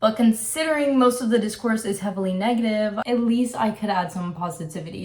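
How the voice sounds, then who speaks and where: A woman with a fairly high pitch and lively intonation keeps a moderate pace as noticeable background noise continues. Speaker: video essayist. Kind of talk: video essay commentary.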